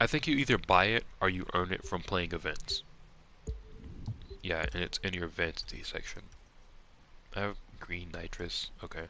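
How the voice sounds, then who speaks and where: A man with an American accent, at a moderate pace with ordinary pitch variation. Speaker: game streamer. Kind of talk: live gameplay stream chat. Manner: casual, rambling.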